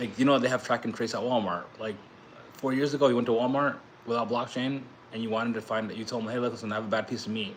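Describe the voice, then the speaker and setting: A man talks at a very fast pace with an American accent. His intonation stays fairly even. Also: medium pitch for a man. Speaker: crypto YouTuber and blockchain entrepreneur. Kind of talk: casual livestream talk. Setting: livestream. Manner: fast, rambling with restarts.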